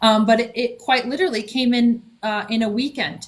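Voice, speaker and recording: Somewhat breathy, a woman speaks at a moderate pace with fairly even intonation. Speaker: author and spiritual guide. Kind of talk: podcast interview. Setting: live stream.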